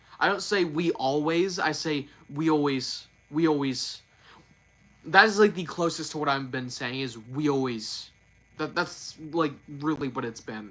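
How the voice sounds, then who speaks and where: Noticeable background noise sits behind a man who speaks fairly slowly in a fairly high pitch with ordinary pitch variation. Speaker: YouTuber doing news and reviews. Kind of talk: live stream chat. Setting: live stream. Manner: slurred, repeats words; halting.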